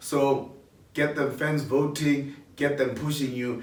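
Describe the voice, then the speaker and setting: A man with a fairly high pitch speaks in an animated tone, with audible room echo. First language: not a local South African language. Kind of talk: announcing nominee rankings.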